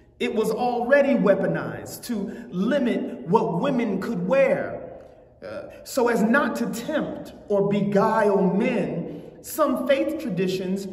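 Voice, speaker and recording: A man's high-pitched voice at a very slow pace, with ordinary pitch variation and audible room echo. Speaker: preacher. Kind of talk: sermon. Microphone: lapel.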